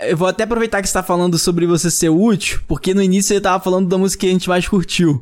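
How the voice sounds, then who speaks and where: Very fast and with hardly any pauses, a man talks in a high voice, his intonation fairly even and his loudness very even. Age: 20s. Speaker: podcast host. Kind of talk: casual chat. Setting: studio.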